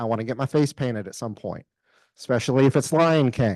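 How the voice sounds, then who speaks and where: A man uses a normal speaking voice at a medium pitch with ordinary pitch variation. The sound is dry and close with no echo, over a quiet background. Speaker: volunteer coordinator. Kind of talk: orientation briefing. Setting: room with live audience.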